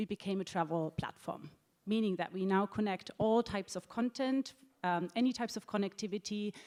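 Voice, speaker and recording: A woman with a German accent speaks fairly quickly at medium pitch, her tone dark and mellow, with ordinary pitch variation and a dry, close sound with no echo. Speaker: travel technology executive. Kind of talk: panel discussion. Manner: halting, many fillers.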